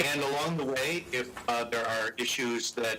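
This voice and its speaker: A man talks at a moderate pace with medium pitch. Noticeable background noise and audible room echo surround him. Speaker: public safety consultant. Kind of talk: presentation to council. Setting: video call. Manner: slightly slurred.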